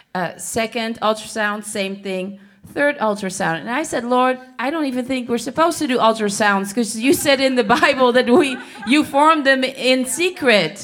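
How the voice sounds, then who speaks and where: A woman sounds nervous, speaking at a moderate pace in a high voice with lively intonation. Background noise is noticeable. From Netherlands. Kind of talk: prophetic word over a couple at a church service. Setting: church. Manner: halting, with nervous laughs.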